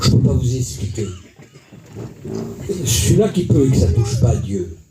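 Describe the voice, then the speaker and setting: Noticeable background noise and audible room echo fill the recording. A man speaks at a fairly slow pace with lively intonation. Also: medium pitch for a man. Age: 60s. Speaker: preacher. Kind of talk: sermon. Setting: church. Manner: animated.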